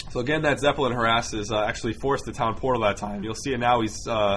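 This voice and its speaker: A man speaks over noticeable background noise. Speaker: game commentator. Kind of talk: game replay commentary. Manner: casual, unprepared.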